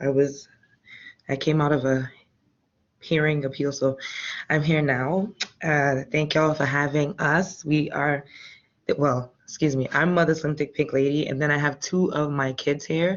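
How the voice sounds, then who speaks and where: Quiet and at a moderate pace, a woman speaks in a very deep, low pitch with very even loudness, fairly even intonation, and long, frequent pauses. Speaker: ballroom house mother. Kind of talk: panel discussion.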